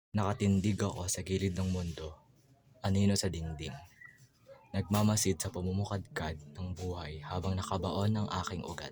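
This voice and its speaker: Very deep, low male voice over background music, moderate in pace and fairly even in intonation. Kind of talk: spoken word poetry.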